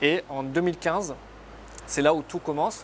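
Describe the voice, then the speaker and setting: A moderately paced man's voice with fairly even intonation. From northern Lebanon, near Tripoli. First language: Arabic (speaking French). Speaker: surgeon turned entrepreneur. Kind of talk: interview. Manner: hesitant, many fillers.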